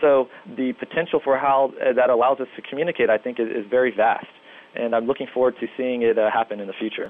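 Over noticeable background noise, a man speaks fairly quickly at a medium pitch. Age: 30s. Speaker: neuroscience researcher. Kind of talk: interview.

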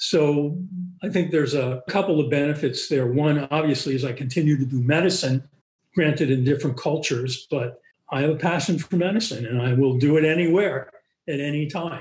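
Fairly quick and somewhat breathy, a man speaks with an American accent. His pitch is fairly high, with ordinary variation. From US Northeast, Boston. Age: 70s. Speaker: physician, pulmonologist. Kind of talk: interview.

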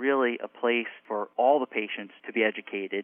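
Medium in pitch, a man talks at a moderate pace with an American accent. His is an ordinary speaking voice. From New York / New Jersey area. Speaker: cardiologist. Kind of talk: interview.

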